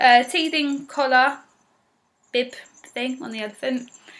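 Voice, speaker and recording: A woman's raised, projected voice at a moderate pace, fairly even in intonation, over noticeable background noise. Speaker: parent vlogger. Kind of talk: casual vlog chat. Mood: warm, affectionate. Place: home room. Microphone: webcam.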